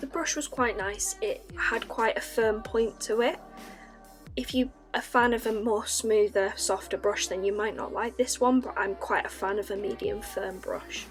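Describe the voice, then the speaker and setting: A woman with a Northern English accent at a moderate pace, with music in the background. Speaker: artist. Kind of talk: casual art review talk to camera.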